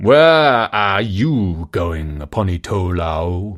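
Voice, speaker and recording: In a very clean recording with a silent background, a man uses a put-on character voice of very deep, low pitch, talking at a very slow pace. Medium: read story. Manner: solemn, commanding.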